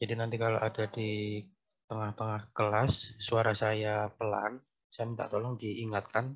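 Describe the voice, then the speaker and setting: Here a man speaks at a fairly low pitch. His intonation is monotone and flat. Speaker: university lecturer. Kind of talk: online lecture. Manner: soft-spoken.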